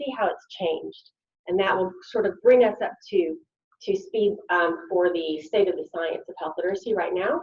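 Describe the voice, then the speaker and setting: With a Southern US accent, a woman talks at a medium pitch with lively intonation. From US South, Arkansas. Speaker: health literacy researcher, invited speaker. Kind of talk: conference lecture. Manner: animated.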